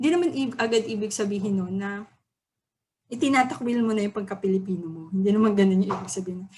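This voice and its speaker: This woman talks at a very fast pace with a dark, mellow tone. Her voice is somewhat breathy, with ordinary pitch variation. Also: medium pitch for a woman. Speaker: student or teacher giving a poem analysis. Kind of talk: lecture. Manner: halting.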